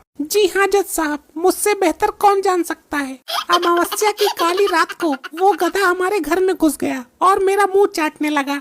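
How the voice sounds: A female-sounding cartoonish character voice at an extremely high pitch moves along at a moderate pace.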